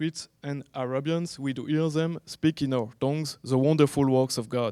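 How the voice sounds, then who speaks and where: A man with a French accent speaks in a dark, mellow tone at a fairly high pitch, his intonation fairly even. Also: dry, close sound with no echo. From France. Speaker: online evangelist. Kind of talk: conference talk. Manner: halting.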